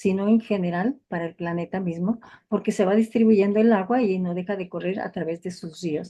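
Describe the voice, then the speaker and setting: In a Mexican accent, a woman speaks at a moderate pace with a dark, mellow tone. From Mexico. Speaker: family physician, lecturer. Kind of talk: lecture. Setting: video call webinar.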